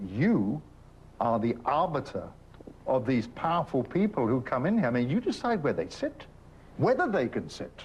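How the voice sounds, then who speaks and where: A man with an English accent talks at a moderate pace in a fairly high, somewhat breathy voice with very wide pitch swings. He leaves long, frequent pauses. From England. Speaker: documentary presenter. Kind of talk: interview.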